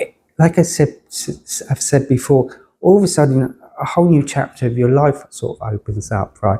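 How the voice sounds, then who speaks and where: With a dark, mellow tone and a somewhat breathy quality, this voice keeps a moderate pace and ordinary pitch variation. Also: man, fairly high pitch for a man. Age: 60s. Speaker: cancer patient. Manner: halting, repeats words.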